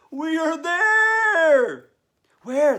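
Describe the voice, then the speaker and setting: This put-on character voice is squeaky and pitched extremely high. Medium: read story. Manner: cheerful.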